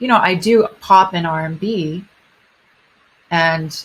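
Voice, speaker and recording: Speaking at a very slow pace, a woman uses a fairly low, somewhat breathy voice with ordinary pitch variation. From Japan. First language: Japanese. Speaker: singer. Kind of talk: interview. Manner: halting.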